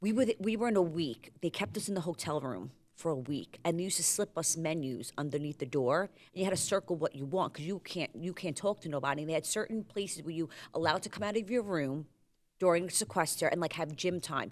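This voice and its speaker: Someone with a New York accent talks at a very fast pace with lively intonation, on a very clean recording with a silent background. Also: woman, fairly low pitch for a woman. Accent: Staten Island (New York). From US Northeast, Staten Island, New York. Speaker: reality TV contestant. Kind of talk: casual chat. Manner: animated.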